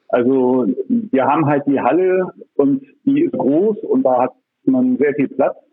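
The speech moves at a very slow pace. Its loudness stays very even. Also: man. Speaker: café owner and gallery operator. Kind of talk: interview. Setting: phone call. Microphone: phone line, poor recording quality.

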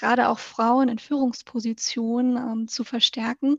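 Against a quiet background, a woman speaks fairly slowly in a high pitch with monotone, flat intonation. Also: dry, close sound with no echo. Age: 20s. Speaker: municipal organisational consultant. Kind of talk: interview.

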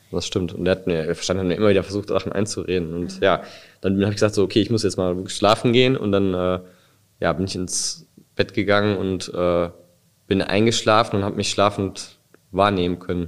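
A man speaks fairly quickly but leaves long, frequent pauses, his intonation monotone and flat. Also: fairly low pitch for a man. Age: 30s. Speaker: near-death experience survivor. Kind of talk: testimony. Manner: halting.

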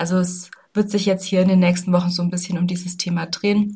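A woman talks at a fairly quick pace. Her delivery is flat and monotone, with a somewhat breathy quality. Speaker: health and wellbeing coach, podcast host. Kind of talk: solo podcast monologue. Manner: casual, many filler sounds.

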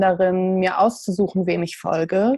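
Fairly even intonation marks a woman's medium-pitched voice with a dark, mellow tone. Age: 20s. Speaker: poet and mental health blogger. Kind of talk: interview.

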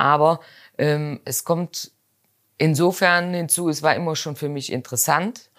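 A woman in a Rhineland accent speaks fairly slowly at a very deep, low pitch with ordinary pitch variation, on a very clean recording with a silent background. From Rhineland, Germany. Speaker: mustard and spice business owner. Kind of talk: interview. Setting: in a shop.

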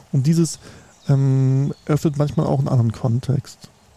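A man's fairly high, somewhat breathy voice with a dark, mellow tone and a dry, close sound without echo. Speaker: sales analyst and business consultant. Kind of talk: casual chat. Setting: outdoors.

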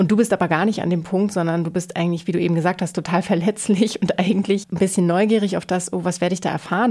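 A woman speaks very fast at a medium pitch. Her intonation is monotone and flat, and her tone is dark and mellow. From rural Germany. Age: 40s. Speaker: interior designer. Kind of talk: casual chat.

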